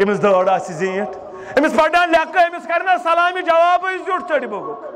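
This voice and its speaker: A man speaks with very wide pitch swings. Noticeable background noise runs underneath. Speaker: Islamic preacher. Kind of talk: sermon. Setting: stage with audience. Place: tent. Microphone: podium.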